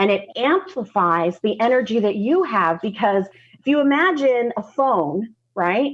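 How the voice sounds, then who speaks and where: The voice moves at a fairly slow pace, with very wide pitch swings and very even loudness. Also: woman, fairly high pitch for a woman. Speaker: spiritual content creator and show host. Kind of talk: interview conversation. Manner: talkative.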